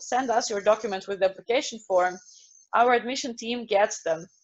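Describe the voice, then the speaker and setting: A woman's fairly high-pitched voice with a Russian accent. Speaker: university representative. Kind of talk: online presentation with Q&A.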